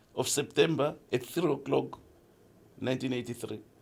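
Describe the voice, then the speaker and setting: With vocal fry, a man speaks at a moderate pace with ordinary pitch variation. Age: 60s. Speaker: podcast host's father sharing life stories. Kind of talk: casual chat.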